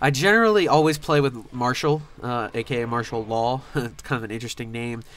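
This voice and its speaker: The speaker has an unremarkable speaking voice, moving at a fairly quick pace with hardly any pauses and ordinary pitch variation. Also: man, medium pitch for a man. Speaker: gaming youtuber. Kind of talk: gameplay commentary.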